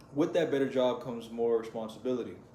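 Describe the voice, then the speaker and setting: In a space with audible room echo, a man speaks at a moderate pace with a dark, mellow tone and ordinary pitch variation. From US, Mexican-American family. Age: 20s. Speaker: vlogger. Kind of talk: personal vlog confession. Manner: casual, rambling with repetitions.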